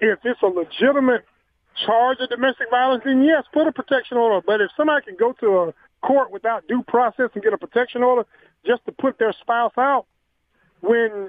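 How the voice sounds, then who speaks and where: The speaker has a Southern US accent and a very fast pace. Pitch varies in an ordinary way. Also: man. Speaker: caller. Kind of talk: casual chat. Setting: phone call.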